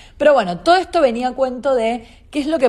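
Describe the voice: A woman's slightly mellow tone at a fairly quick pace, with ordinary pitch variation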